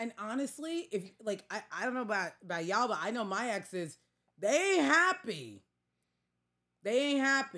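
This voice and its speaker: With a Staten Island accent, a woman speaks at a moderate pace in a fairly high, bright, sharp voice, her animated tone marked by very wide pitch swings. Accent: Staten Island New York. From New York. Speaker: podcast co-host. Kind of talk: casual chat.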